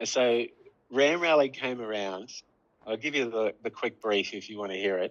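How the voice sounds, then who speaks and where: With an Australian accent, a man talks at a moderate pace and medium pitch, with ordinary pitch variation. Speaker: app developer. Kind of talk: casual chat.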